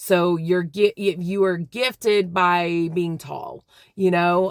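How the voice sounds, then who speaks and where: Using fairly even intonation, a woman speaks at a very slow pace. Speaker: vlogger, faith speaker. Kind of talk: casual monologue vlog. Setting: in a car. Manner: hesitant, many fillers.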